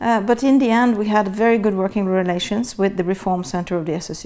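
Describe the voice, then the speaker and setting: Speaking in a Norwegian accent, a woman keeps a moderate pace. Her medium-pitched voice shows ordinary pitch variation. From Norway. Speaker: international security official. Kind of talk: interview. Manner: hesitant, with fillers.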